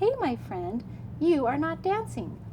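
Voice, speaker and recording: A woman's put-on character voice at a fairly slow pace against loud background noise. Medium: read story.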